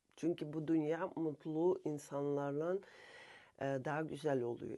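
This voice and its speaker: Speaking at a very slow pace, a woman has a very deep, low pitch and a dark, mellow tone. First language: Russian (speaking Turkish). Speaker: subconscious therapist and self-help vlogger. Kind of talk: spiritual self-help monologue. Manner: halting, frequent filler pauses.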